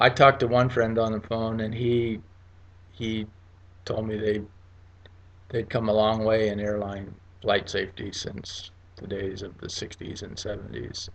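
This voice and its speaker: A man at a fairly slow pace and fairly low pitch, with monotone, flat intonation, big swings in loudness and long, frequent pauses. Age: 60s. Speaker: vlogger sharing personal experience. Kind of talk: casual personal monologue. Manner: halting, many repetitions and fillers.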